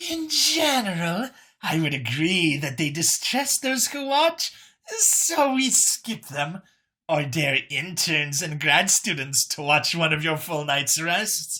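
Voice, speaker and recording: Someone uses a put-on character voice at a middle pitch. The delivery is fairly slow. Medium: read story. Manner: dry, casual.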